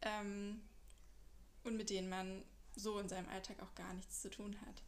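A woman speaks at a very slow pace with fairly high pitch and ordinary pitch variation. Audible room echo surrounds her voice. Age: 30s. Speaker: podcaster, fraud manager. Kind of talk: casual monologue. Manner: hesitant, many fillers.

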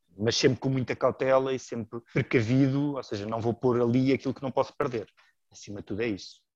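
In a normal speaking voice at a medium pitch, a man talks at a fairly quick pace with fairly even intonation. His loudness swings a lot, and the sound is dry and close with no echo. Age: 30s. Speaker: amateur investor, works in advertising. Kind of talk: casual interview.

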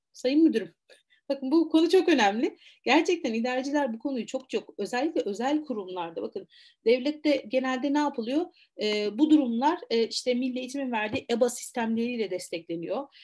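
Against a quiet background, a woman speaks fairly quickly with a high pitch and lively intonation. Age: 40s. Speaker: university lecturer and teacher trainer. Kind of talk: webinar lecture.

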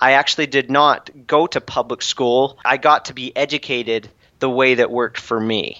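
At a moderate pace, a man speaks with fairly even intonation in a plain, everyday voice. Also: medium pitch for a man. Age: 20s. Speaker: entrepreneur and author. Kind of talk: podcast interview.

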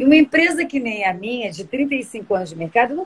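Against noticeable background noise, a woman with a high voice talks at a moderate pace with lively intonation. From Rio de Janeiro, Brazil (born São Paulo, moved at two). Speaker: tourism business owner. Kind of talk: live-stream interview. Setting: online live stream.

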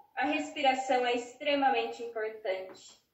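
With audible room echo around her, a woman speaks very slowly in a high pitch with lively intonation. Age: 30s. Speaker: psychologist. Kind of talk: interview.

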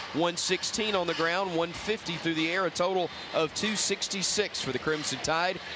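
A raised, projected voice at a fairly slow pace with fairly even intonation, over noticeable background noise. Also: man. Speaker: radio sideline or studio host. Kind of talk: live commentary.

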